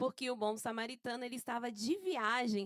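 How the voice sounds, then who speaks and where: The voice belongs to a woman with a high pitch. The sound is dry and close, free of any echo. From Brazil, Santo André, São Paulo. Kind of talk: casual podcast chat.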